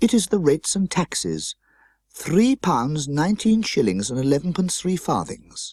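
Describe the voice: In a very clean recording with a silent background and a dry, close sound with no echo, a man does a put-on character voice at a fairly high pitch and fairly slow pace, his slightly mellow tone moving through very wide pitch swings.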